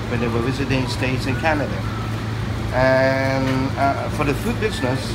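A man speaks over loud background noise. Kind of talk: interview answer. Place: cafe. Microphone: phone near.

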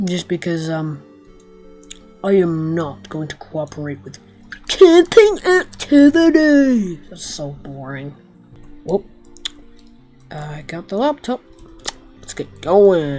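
In a put-on character voice at a middle pitch, the speaker goes very slowly with long, frequent pauses while faint music plays in the background. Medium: machinima. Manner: sullen, grumbling.

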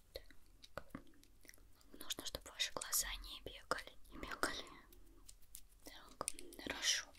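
Speech at a fairly slow pace comes through loud background noise. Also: woman. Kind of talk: ASMR roleplay, soft-spoken instructions. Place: home room.

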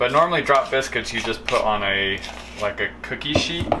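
A man's speech shows ordinary pitch variation, with noticeable background noise present. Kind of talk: casual cooking tutorial chat. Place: kitchen.

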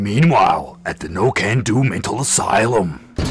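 Putting on a cartoonish character voice, a man speaks at a medium pitch and a moderate pace. His intonation is lively, and background noise is clearly audible. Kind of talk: cartoon-style announcer. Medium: voice reel.

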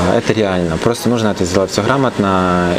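A man with a fairly low pitch speaks very fast in a fairly even intonation, with noticeable background noise. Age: 20s. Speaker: fitness trainer and physique competitor; fitness trainer. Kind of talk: casual interview. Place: hall. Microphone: phone near.

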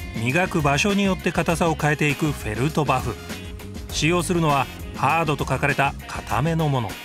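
Music plays in the background as a man with a fairly high pitch talks. His pace is moderate, with ordinary pitch variation. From Tokyo. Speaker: actor, narrator. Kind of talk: TV documentary narration.

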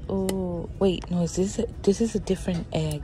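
Noticeable background noise sits under the voice. The sound is dry, with no echo. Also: woman. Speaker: shopping vlogger. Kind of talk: casual vlog chat. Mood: excited, chatty. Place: shop. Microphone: phone near.

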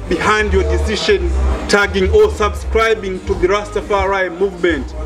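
Clear music in the background behind a man at a fairly slow pace. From Dar es Salaam, Tanzania. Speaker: researcher and interviewer. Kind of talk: interview host. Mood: warm, smiling, curious. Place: shop.

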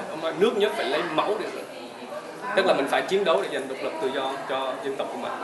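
A man talks at a very fast pace with lively intonation. Crowd noise fills the background. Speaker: tour guide. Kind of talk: guided tour narration about history. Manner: conversational, explanatory, storytelling. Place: hall. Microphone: camera far.

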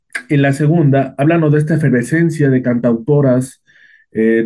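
Against a quiet background, a man talks in a dark, mellow tone. His pitch is fairly high, with ordinary variation. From Mexico. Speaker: interviewer. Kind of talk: interview. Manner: halting, with many repetitions. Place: home room. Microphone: video call.

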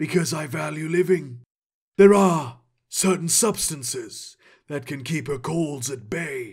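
A man puts on a raspy character voice, pitched fairly high and delivered at a fairly slow pace. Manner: wry, knowing, enigmatic.

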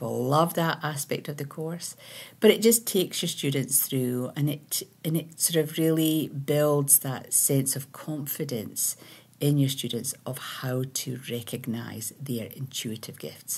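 In a Scottish accent, a woman speaks with a very deep, low pitch. Her delivery is somewhat breathy and fairly slow. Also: ordinary pitch variation. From Scotland. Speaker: spiritual teacher and meditation creator; meditation teacher. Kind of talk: casual monologue. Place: home room. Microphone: webcam.

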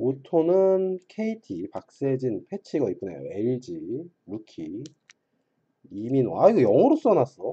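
Speech at a very slow pace over a quiet background. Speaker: trading card seller and streamer; trading card seller, streamer. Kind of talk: casual card break livestream commentary. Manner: casual, muttering to self. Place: home room. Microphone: webcam.

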